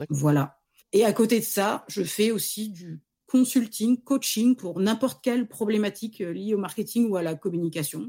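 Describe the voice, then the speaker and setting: Fairly high in pitch, a woman speaks with a dark, mellow tone and lively intonation. Her voice is somewhat breathy. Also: moderate pace. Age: 40s. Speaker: freelance marketing director. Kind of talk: casual interview.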